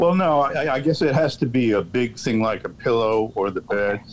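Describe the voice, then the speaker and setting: Delivered at a moderate pace, this is a normal speaking voice with ordinary pitch variation. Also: man. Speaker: radio call-in caller.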